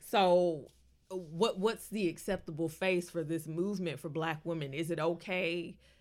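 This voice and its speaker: A woman talks in a normal speaking voice at a fairly slow pace. Her pitch is fairly low, with fairly even intonation. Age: 30s. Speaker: podcast co-host. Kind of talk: casual chat.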